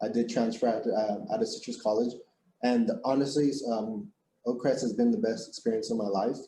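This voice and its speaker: A man speaks in a dark, mellow tone with fairly even intonation. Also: medium pitch for a man, moderate pace. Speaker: electron microscopist. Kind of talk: career talk to students.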